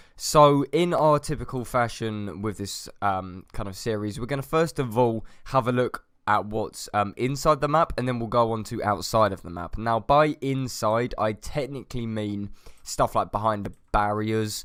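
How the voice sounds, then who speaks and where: Someone with a British accent speaks at a moderate pace with ordinary pitch variation on a very clean recording with a silent background. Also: man, medium pitch for a man. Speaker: gaming youtuber. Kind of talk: gameplay commentary.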